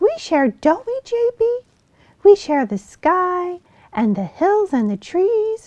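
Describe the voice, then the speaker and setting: A woman's squeaky, put-on character voice at an extremely high pitch and fairly slow pace. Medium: read story. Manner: bright, eager.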